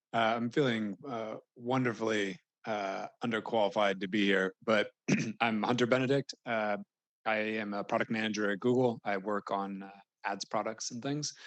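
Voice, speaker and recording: A man speaks at a moderate pace in a fairly low pitch with fairly even intonation, the sound dry and close with no echo. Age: 30s. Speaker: panelist, product manager and parent. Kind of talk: panel discussion. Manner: halting, many fillers.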